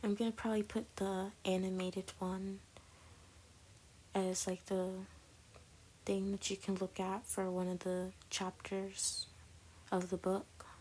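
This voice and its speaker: A woman speaks quietly at a medium pitch, her loudness very even and her intonation flat and monotone. She moves at a fairly slow pace with long, frequent pauses. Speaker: artist narrating drawing video. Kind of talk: casual voiceover commentary. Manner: quiet, keeping voice down.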